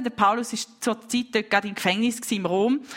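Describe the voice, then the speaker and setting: Background noise is noticeable throughout. The pitch changes only a little, keeping the intonation fairly even. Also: woman. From Switzerland, St. Gallen. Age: 20s. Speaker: preacher. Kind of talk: sermon.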